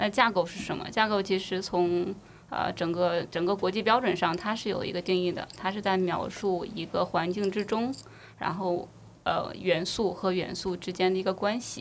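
An unremarkable speaking voice from a woman at medium pitch and moderate pace, fairly even in intonation, on a very clean recording with a silent background. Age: young. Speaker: enterprise architecture consultant. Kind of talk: casual chat.

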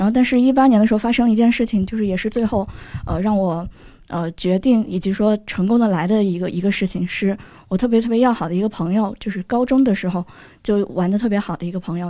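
On a very clean recording with a silent background, a woman speaks fairly quickly in a dark, mellow tone at medium pitch with ordinary pitch variation. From Kunming, Yunnan. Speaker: audience member, internet worker. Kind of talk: personal story.

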